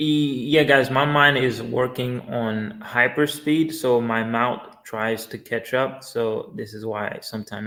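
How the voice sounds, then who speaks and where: Very slowly, a man speaks at a medium pitch with a bright, sharp tone and ordinary pitch variation. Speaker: crypto livestreamer. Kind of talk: live stream chat reading viewer comments. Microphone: poor internet, stream may lag.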